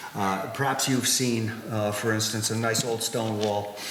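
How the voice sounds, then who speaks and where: A man speaks at medium pitch and a moderate pace. There is noticeable background noise. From New Hampshire, New England. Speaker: stone wall builder. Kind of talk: public history lecture. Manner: hesitant, many fillers.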